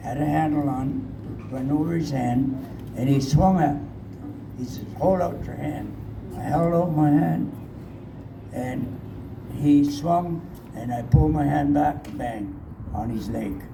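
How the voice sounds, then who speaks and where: Over noticeable background noise and audible room echo, a man speaks with long, frequent pauses and ordinary pitch variation. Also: fairly slow pace. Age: 80s+. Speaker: residential school survivor. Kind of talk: testimony. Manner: halting.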